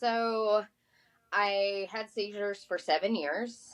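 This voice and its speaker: A woman's medium-pitched voice in an Appalachian accent, very slow, with fairly even intonation. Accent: Southern US (Appalachian). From Appalachia, North Carolina. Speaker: author and magazine editor. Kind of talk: interview.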